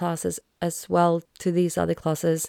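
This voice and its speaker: A woman speaks with a Swedish accent in a dark, mellow tone. The recording is very clean, with a silent background. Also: dry, close sound with no echo. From Sweden. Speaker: podcast host. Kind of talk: solo podcast monologue.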